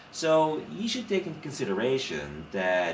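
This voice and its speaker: The voice swings very widely in pitch. There is noticeable background noise and audible room echo. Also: man. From Netherlands, Rotterdam. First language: Dutch. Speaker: literature scholar. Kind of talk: casual chat. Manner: animated.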